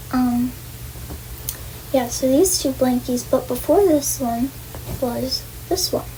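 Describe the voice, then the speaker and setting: Over noticeable background noise, a woman with an American accent talks at a very slow pace, with long, frequent pauses. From New York, Long Island. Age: 20s. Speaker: vlogger. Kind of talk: casual vlog monologue. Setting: bedroom at home. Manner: halting; soft-spoken. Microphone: far from the camera.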